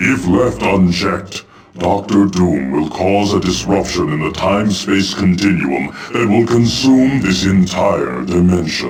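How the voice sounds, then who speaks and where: With hardly any pauses, a man performs a put-on character voice at a very deep, low pitch. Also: fairly slow pace. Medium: video game. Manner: solemn, formal.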